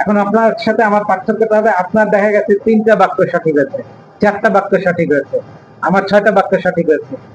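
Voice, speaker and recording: Noticeable background noise surrounds a man whose high-pitched voice holds a very even loudness. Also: ordinary pitch variation. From Rajshahi, Bangladesh. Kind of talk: instructive, explanatory.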